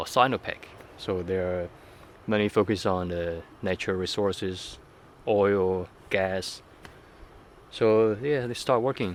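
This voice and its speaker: Speaking with a Chinese accent, a man uses a fairly low pitch and fairly even intonation, leaving long, frequent pauses. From southern China. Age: 30s. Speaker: vlogger. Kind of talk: unscripted personal vlog. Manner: halting, many fillers.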